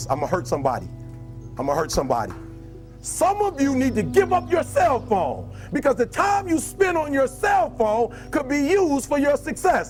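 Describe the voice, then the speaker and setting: A man speaks at a moderate pace. Background music accompanies him. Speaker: motivational speaker. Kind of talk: motivational speech to a live audience. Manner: passionate, emphatic.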